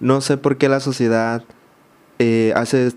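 The man talks with monotone, flat intonation. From Mexico, Baja California Sur (San José del Cabo); Baja California Sur, Mexico. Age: 20s. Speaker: social media content creator. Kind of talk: personal testimony in interview. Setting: studio. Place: studio. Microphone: studio mic.

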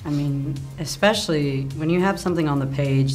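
A woman's very deep, low voice at a moderate pace, with faint music in the background. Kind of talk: interview answer. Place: hall.

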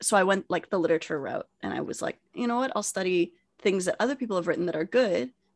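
A woman's medium-pitched voice at a very fast pace, with very wide pitch swings and a dry, close sound with no echo. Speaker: podcast co-host. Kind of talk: casual chat. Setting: video call.

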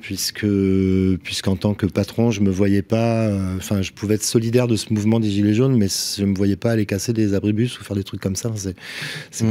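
A man's fairly low pitch, fairly quick pace and fairly even intonation. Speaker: roofer and business owner. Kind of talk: casual chat. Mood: relaxed anecdote telling. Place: studio. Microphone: studio mic.

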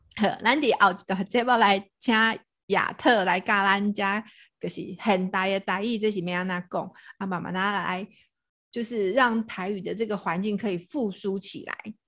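A woman's normal speaking voice at medium pitch with fairly even intonation, on a very clean recording with a silent background. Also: moderate pace. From Taiwan, Tainan (Anping). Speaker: podcast host. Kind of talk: casual chat.

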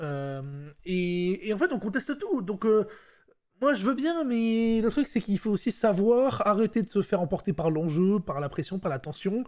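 The speaker goes at a fairly slow pace, the pitch swinging very widely. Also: man, high pitch for a man. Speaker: esports talk show host. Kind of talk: casual chat. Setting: live stream.

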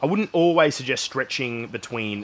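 Light background noise is present. Over it, a man talks. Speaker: fitness vlogger. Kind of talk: casual vlog chat. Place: home room.

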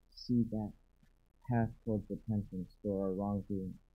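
A man speaks in a flat monotone at a fairly slow pace. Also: quiet background. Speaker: congregation member; preacher. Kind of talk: reading aloud. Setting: church. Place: church.

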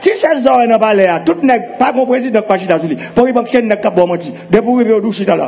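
A man with a high voice talks at a fairly quick pace, his pitch varying in an ordinary way. Noticeable background noise can be heard.

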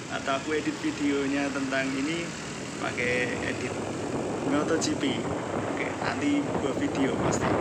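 A man speaks at a fairly slow pace, leaving long, frequent pauses. Loud background noise fills the recording. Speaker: motovlogger rider. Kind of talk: casual vlog chat. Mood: relaxed, playful. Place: motorbike.

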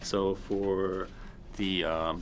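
Against light background noise, a man talks in a fairly low pitch with monotone, flat intonation. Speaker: travel vlogger. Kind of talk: casual vlog chat. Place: tunnel cave. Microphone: phone near.

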